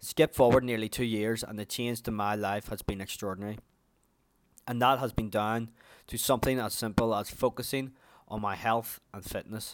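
A man with an Irish accent at a medium pitch and moderate pace, monotone and flat in intonation, in a very clean recording with a silent background. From Ireland. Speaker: podcast host. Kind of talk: scripted-style monologue, personal storytelling.

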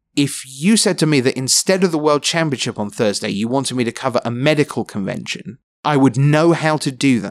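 A man talks at a fairly quick pace with a London accent. The recording is very clean, with a silent background. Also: dry, close sound with no echo. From London, England. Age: 40s. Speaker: esports commentator. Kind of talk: casual interview. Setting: hotel room.

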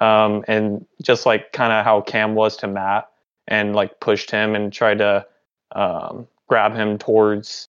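Against a quiet background, a man with an American accent talks fairly low and fairly slowly in a monotone, flat intonation. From Dallas area, Texas. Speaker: podcast co-host, college student. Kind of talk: casual chat.

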